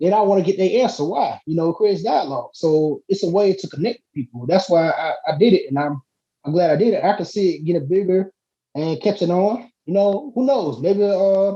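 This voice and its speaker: Speaking at a fairly quick pace, a man uses a high pitch with ordinary variation and a dark, mellow tone. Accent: Southern US. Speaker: hip-hop artist. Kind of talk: casual chat. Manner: fast; animated.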